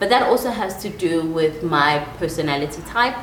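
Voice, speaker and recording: A woman sounds animated, with lively intonation at a moderate pace. Audible room echo and noticeable background noise surround her. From South Africa, KwaZulu-Natal. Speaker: life coach. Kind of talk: solo podcast monologue.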